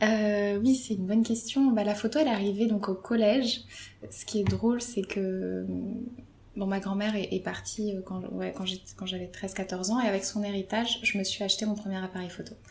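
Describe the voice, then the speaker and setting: At a moderate pace, a woman speaks with fairly even intonation at a medium pitch in a plain, everyday voice. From Paris suburbs, France. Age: 30s. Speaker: photographer. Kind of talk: interview.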